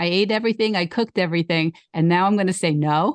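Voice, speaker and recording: A woman with an ordinary speaking voice, medium pitch and ordinary pitch variation, at a fairly quick pace against a quiet background, in a dry, close sound with no echo. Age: 60s. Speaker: podcast host, vegan life coach. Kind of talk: casual chat.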